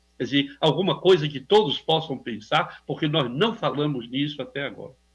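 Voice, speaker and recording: A somewhat breathy man's voice, fairly high in pitch, with ordinary pitch variation and a moderate pace. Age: 70s. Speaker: psychiatrist, radio contributor. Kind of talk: radio interview. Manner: halting, searching for words.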